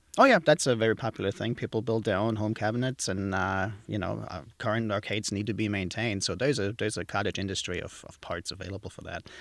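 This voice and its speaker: Talking very fast with hardly any pauses, a man with a German accent uses a fairly low pitch, ordinary pitch variation and big swings in loudness, on a very clean recording with a silent background. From southwest Germany. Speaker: museum exhibits tech manager. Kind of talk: podcast interview.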